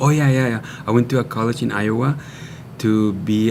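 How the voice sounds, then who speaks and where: This man, with a Spanish accent, speaks at a fairly low pitch with ordinary pitch variation. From Mexico, Baja California. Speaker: natural wellness product maker. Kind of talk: TV interview.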